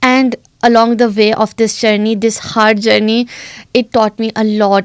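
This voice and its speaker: In a non-native accent, a woman speaks at a moderate pace with a fairly high pitch and monotone, flat intonation. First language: not English. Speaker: recent graduate guest. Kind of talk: interview. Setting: studio.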